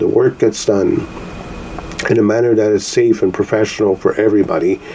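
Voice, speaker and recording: Noticeable background noise runs beneath a man talking at a moderate pace. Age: 60s. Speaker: podcast host, call center worker. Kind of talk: solo podcast commentary. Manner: casual, hesitant with fillers.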